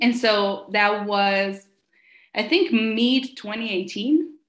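A woman speaks with an Italian accent. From northern Italy. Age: young. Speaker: social media and admin consultant. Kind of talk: interview.

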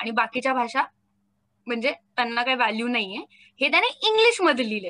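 The tone comes across bright and sharp. Its intonation is lively. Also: woman, high pitch for a woman. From Maharashtra, India. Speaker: content creator, comedy video maker. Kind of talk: casual interview.

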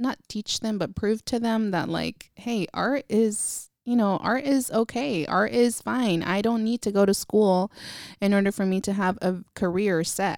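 Speaking in an American accent at a fairly slow pace, a woman with an unremarkable speaking voice keeps a medium pitch and ordinary pitch variation, and the sound is dry and close with no echo on a very clean recording with a silent background. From Northern California, Vallejo. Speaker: photographer. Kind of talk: casual interview.

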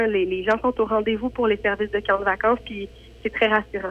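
The woman's fairly high voice holds a monotone, flat intonation. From Quebec. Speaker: farm camp organizer. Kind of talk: radio interview.

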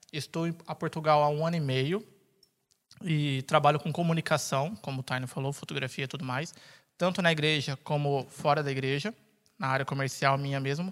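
At a fairly quick pace, a man with fairly high pitch speaks on a very clean recording with a silent background. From Brazil, São Paulo. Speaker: podcast host. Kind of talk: casual chat. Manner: animated.

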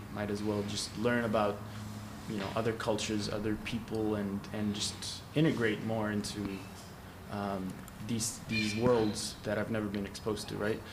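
A man's fairly low, monotone voice with flat intonation at a moderate pace, with audible room echo and noticeable background noise. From Egypt. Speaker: independent filmmaker. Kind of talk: casual chat. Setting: studio.

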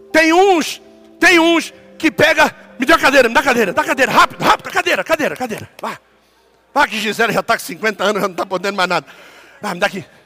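In a dry, close sound with no echo, a man with an extremely high pitch and very wide pitch swings speaks at a very fast pace in a raised, projected voice, broken by long, frequent pauses. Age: 50s. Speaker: pastor. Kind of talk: sermon.

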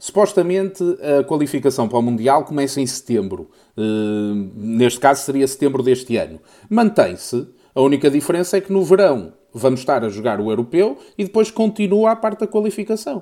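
This man's voice is fairly high-pitched and dark and mellow in tone, with very wide swings in pitch. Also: moderate pace. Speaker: podcast co-host. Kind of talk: casual chat.

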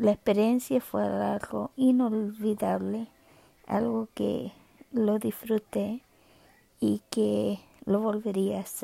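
Speaking at a very slow pace, a woman leaves long, frequent pauses in a dry, close sound with no echo. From Chile. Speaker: podcaster, guide dog user. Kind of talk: personal monologue. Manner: halting.

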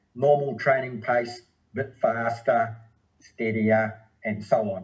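Here is a man with a New Zealand accent and a somewhat breathy voice. His pitch is medium and his intonation fairly even. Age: 60s. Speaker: running and triathlon coach. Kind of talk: casual interview.

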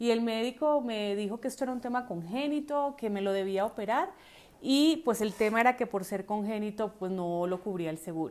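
A woman with a plain, everyday voice speaks at a fairly high pitch and a moderate pace, her intonation lively, in a very clean recording with a silent background. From Colombia. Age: 40s. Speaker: podcast host. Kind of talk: personal storytelling.

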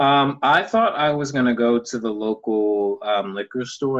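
With an American accent, a man speaks at a very slow pace using lively intonation. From Texas, Houston. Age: 20s. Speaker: actor. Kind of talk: casual chat. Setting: video call.

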